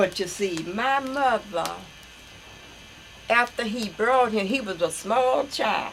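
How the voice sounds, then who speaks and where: Over noticeable background noise, a woman with an American accent speaks at a very slow pace with long, frequent pauses. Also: ordinary pitch variation. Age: 80s+. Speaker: elderly relative recounting family history. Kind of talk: oral history interview. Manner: halting.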